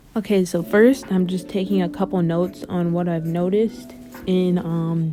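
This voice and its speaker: With music in the background, a woman talks at a moderate pace in a fairly low pitch. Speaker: art tutorial creator. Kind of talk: tutorial voice-over. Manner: monotone.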